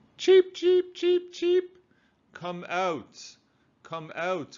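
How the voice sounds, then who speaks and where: Using a squeaky, put-on character voice, a man speaks at a very slow pace. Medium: read story.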